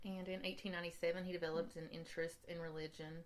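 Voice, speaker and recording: A woman with an Appalachian accent, fairly low in pitch, at a very fast pace. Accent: Appalachian US Southern. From Eastern Kentucky. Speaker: podcast co-host. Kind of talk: casual chat.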